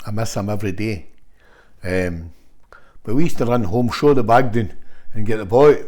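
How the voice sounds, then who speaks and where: A man's fairly low voice with a Scottish accent, at a moderate pace with long, frequent pauses, ordinary pitch variation and audible room echo. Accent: Scottish (Fife). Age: 60s. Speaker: football manager. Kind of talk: casual interview chat. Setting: at the guest's home.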